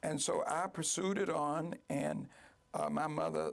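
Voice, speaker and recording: This is a man speaking. He has an American accent. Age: 60s. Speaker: real estate developer. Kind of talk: interview.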